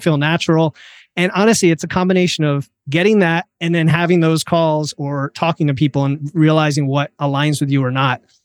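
A man with a plain, everyday voice, fairly high in pitch, fairly quick and even, with hardly any pauses, in a very clean recording with a silent background and a dry, close sound with no echo. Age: 40s. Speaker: nutrition coach and engineer. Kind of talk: interview.

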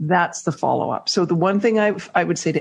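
With an American accent, a woman speaks at a moderate pace in a fairly low pitch with ordinary pitch variation. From Canada. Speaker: networking expert and author. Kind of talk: interview conversation.

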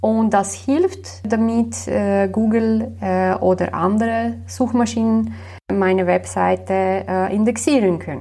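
In a Slovenian accent, the speaker talks at a very slow pace. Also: woman. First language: Slovenian (speaking German). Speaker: web developer. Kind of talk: interview. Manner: hesitant with many fillers.

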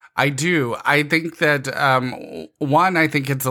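A man with an American accent speaks in a bright, sharp tone with ordinary pitch variation. The recording is very clean, with a silent background. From Georgia, US (Gwinnett County, metro Atlanta). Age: 40s. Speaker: LGBTQ nonprofit director and activist. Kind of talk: podcast interview. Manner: hesitant, many fillers and repeats.

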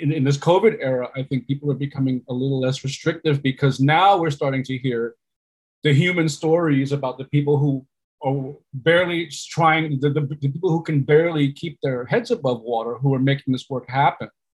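Speaking in a New York accent, a man with a fairly high, somewhat breathy voice moves at a fairly quick pace with ordinary pitch variation. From New York, Puerto Rican family. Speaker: storytelling consultant and meditation instructor. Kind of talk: interview.

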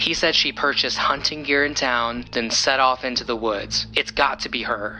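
A man with a medium pitch speaks at a moderate pace in a monotone, flat intonation over noticeable background noise. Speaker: TV paranormal show host, character. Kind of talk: scripted audio drama dialogue. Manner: confident, polished, persuasive.

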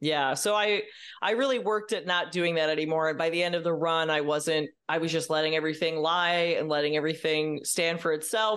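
A normal speaking voice moves at a fairly quick pace with hardly any pauses, its intonation fairly even and its loudness very even. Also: woman. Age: 30s. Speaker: comedian. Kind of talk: casual chat.

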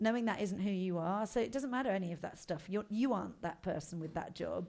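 With a southern English accent, a woman speaks at medium pitch and a fairly quick pace over a quiet background. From southern England, Buckinghamshire. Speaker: comedian. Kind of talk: casual chat.

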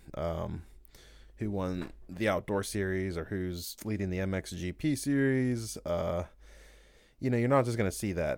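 Over a very clean, silent background, a man speaks with a very deep, low pitch and ordinary pitch variation. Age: 30s. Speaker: fitness coach and podcast host. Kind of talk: solo podcast monologue. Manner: casual, many filler words.

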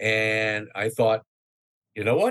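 Speaking fairly slowly at a medium pitch, this man with an American accent has a plain, everyday voice. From New York City area. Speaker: radio news correspondent. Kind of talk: casual interview.

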